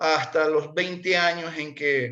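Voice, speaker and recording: A man with an ordinary speaking voice talks at a fairly high pitch with fairly even intonation. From Ecuador, Portoviejo (Manabí coast). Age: 60s. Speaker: interviewee sharing life story. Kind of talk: conversational interview.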